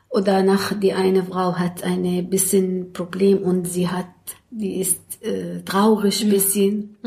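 A woman in an Arabic accent, medium pitch, very slow pace, with noticeable background noise. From Syria, Damascus. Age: 50s. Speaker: social worker and self-help group leader. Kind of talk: interview. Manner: halting.

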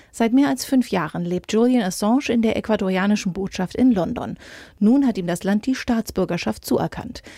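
A woman with a fairly high pitch speaks at a fairly quick pace, her tone dark, mellow and somewhat breathy, with ordinary pitch variation. The recording is very clean with a silent background and a dry, close sound with no echo. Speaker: news presenter. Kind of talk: formal newsreading, crisp bulletin-style headlines and short factual items. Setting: studio. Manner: formal; brisk, even and neutral, steady delivery.

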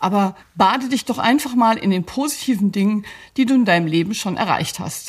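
Fairly high in pitch and somewhat breathy, a woman speaks with lively intonation at a moderate pace. The recording is very clean, its background silent. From grew up partly in Belgium (Brussels), German. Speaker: psychologist and coach. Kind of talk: scripted advice talk.

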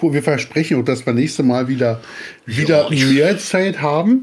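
A man speaks in a normal speaking voice with lively intonation. His pace is fairly quick. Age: 40s. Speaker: podcast co-host. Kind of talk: casual chat.

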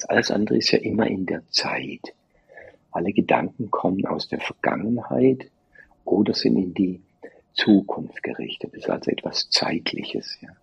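Big loudness swings from a man at a moderate pace. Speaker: meditation teacher. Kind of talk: interview.

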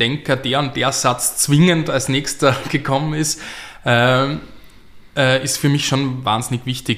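A man speaks at medium pitch and a fairly slow pace, with monotone, flat intonation. Noticeable background noise runs behind him. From Austria, Graz. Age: 30s. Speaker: playwright and novelist. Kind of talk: interview. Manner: halting, many fillers.

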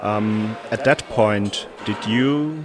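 With a German accent, a man speaks at a medium pitch with ordinary pitch variation. Music plays in the background. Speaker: wrestling interviewer. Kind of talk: interview. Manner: hesitant, many fillers.

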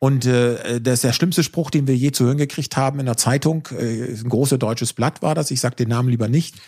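In a very clean recording with a silent background, a man with a dark, mellow tone talks at a fairly quick pace, hardly pausing, his intonation fairly even. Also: medium pitch for a man. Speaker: solar entrepreneur. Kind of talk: casual chat.

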